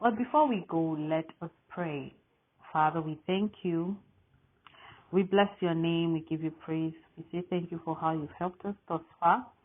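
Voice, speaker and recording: A woman with an African accent, fairly low pitched, at a fairly slow pace. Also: ordinary pitch variation. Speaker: Bible reading host. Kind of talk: welcome and prayer to viewers.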